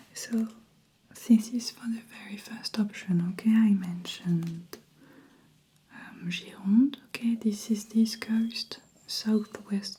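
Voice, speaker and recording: Speaking very slowly and softly with a French accent, the voice leaves long, frequent pauses. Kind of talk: ASMR role-play, travel agent. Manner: soft-spoken.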